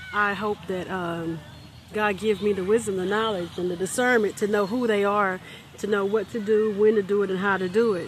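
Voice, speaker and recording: The speaker has a relaxed tone and a moderate pace. Noticeable background noise runs underneath. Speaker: motivational vlogger. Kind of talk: unscripted motivational vlog. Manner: halting, stuttering; relaxed, conversational.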